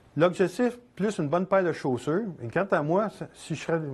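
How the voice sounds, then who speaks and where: This man's intonation is lively. He talks at a moderate speed. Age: 60s. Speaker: photographer and instructor. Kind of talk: lecture. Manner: halting.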